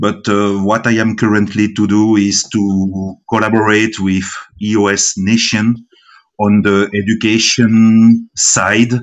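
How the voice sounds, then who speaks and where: The delivery is monotone, with flat intonation and a very slow pace. It comes with a non-native accent. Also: man, fairly low pitch for a man. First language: French. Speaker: blockchain startup founder. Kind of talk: online community meeting. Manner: halting, many fillers.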